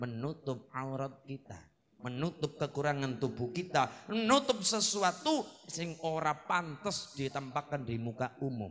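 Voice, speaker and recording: With a Banyumas accent, a man speaks at a fairly slow pace, with a fairly high pitch and lively intonation. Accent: Banyumasan Javanese (ngapak). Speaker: Islamic preacher. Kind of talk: humorous religious sermon. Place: stage. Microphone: handheld.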